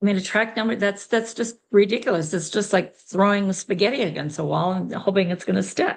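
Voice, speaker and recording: A woman speaks at a medium pitch with ordinary pitch variation in an unremarkable speaking voice. Her pace is fairly quick, with hardly any pauses. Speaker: sales director giving business training. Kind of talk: training session.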